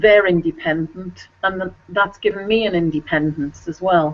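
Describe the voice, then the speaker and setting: A woman with an English accent and fairly even intonation. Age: 60s. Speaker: children's author. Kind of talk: video interview.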